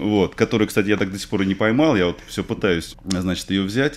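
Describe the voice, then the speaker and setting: A fairly quick pace in a man's fairly low-pitched voice. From Russia, Moscow; Russia. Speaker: fishing video blogger; interview guest. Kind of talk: casual interview. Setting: radio studio. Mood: relaxed, enthusiastic about fishing. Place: studio. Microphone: studio mic.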